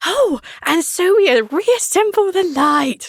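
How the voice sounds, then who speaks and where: A put-on character voice, female-sounding and extremely high in pitch, drawls at a very slow pace. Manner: slow story-reading.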